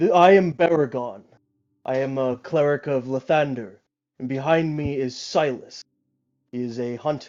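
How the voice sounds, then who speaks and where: Using a put-on character voice, a man at medium pitch and moderate pace takes long, frequent pauses, with ordinary pitch variation. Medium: actual play.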